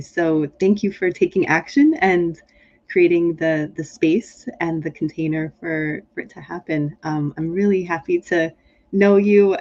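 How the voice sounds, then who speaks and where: Using a plain, everyday voice, a woman with an American accent talks at a moderate pace, fairly low in pitch and with fairly even intonation. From Pennsylvania, US (Harrisburg and Philadelphia). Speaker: leadership consultant and author. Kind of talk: interview. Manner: many fillers and repetitions.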